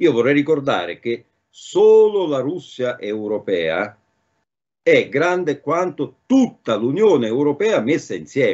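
Against a quiet background, a man speaks very slowly in a fairly high voice with very wide pitch swings. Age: 60s. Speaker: political commentator; remote guest. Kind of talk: talk show discussion. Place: home room. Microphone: video call.

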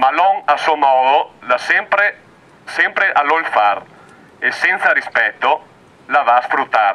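The intonation is lively. A man delivers it all at a very slow pace. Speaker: activist poet. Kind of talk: poetry reading. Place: open country.

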